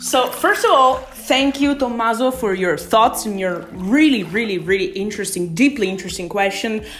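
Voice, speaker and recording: At a moderate speed, the talking continues amid noticeable background noise. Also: woman, fairly high pitch for a woman, lively intonation. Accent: Italian. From Italy. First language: Italian. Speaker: podcast host. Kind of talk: casual solo podcast monologue. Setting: in a bathtub at home, rain on the roof.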